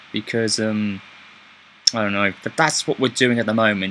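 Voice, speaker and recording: A man speaks with a British accent. Light background noise is present. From Britain. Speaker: YouTuber. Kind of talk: personal video update. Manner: halting. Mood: subdued, grateful. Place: home room. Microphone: webcam.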